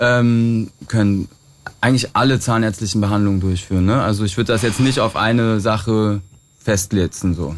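Using an ordinary speaking voice, a man talks at a moderate pace with very even loudness and fairly even intonation. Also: fairly low pitch for a man. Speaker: dentist. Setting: studio.

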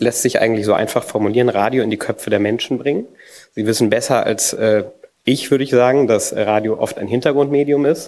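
The pitch of this man's voice varies in an ordinary way. He talks fairly quickly. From Frankfurt, Germany. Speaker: digital radio campaign manager. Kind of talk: conference presentation.

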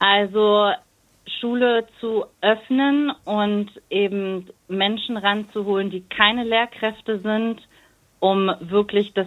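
Her voice, a woman's, sits at a medium pitch. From Germany. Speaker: teacher. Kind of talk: casual chat.

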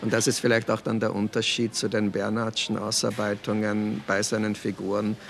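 Speaking in a monotone with flat intonation, a man with an Austrian accent and a fairly low voice talks with hardly any pauses and very even loudness over noticeable background noise. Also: moderate pace. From Austria, Weinviertel (Lower Austria). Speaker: novelist and poet. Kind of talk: interview. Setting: café.

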